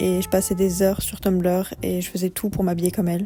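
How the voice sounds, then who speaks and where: Music plays in the background while the speaker moves at a fairly quick pace. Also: woman. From Bordeaux, France. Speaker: YouTuber. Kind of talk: personal vlog voice-over narration. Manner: cool, somewhat detached.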